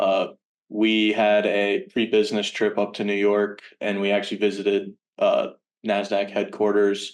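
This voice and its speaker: A man with a Virginia accent, fairly low in pitch, moderate in pace, monotone and flat in intonation. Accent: American, Virginia. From Richmond, Virginia, US. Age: 20s. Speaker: college student intern. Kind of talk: casual interview chat. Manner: hesitant, many fillers.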